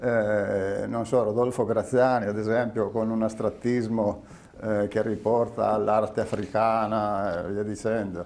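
His speech comes at a fairly slow pace, pitched fairly low for a man. The intonation stays monotone and flat throughout. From Piedmont, Italy (Pollenzo, Langhe area); Piedmont, Italy. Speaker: painter and exhibition curator; guest, speaker. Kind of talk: casual interview. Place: studio. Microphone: lapel.

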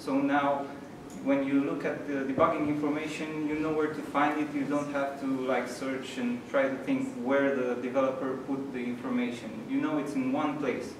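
Over noticeable background noise and audible room echo, a man talks at a moderate pace with monotone, flat intonation. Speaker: meetup host presenting news. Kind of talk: presentation talk. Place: hall. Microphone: camera far.

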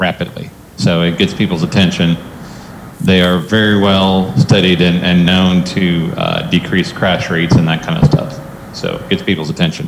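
This man's voice has a very deep, low pitch and ordinary pitch variation. Noticeable background noise runs behind him. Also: moderate pace. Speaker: presenter. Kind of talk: meeting presentation. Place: meeting room. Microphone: podium.

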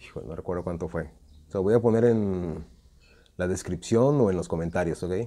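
A man with a Mexican accent speaks in a very deep, low pitch and a dark, mellow tone, leaving long, frequent pauses. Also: ordinary pitch variation, fairly quick pace. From Mexico. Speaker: slingshot youtuber. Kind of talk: tutorial. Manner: casual. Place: garden. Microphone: phone near.

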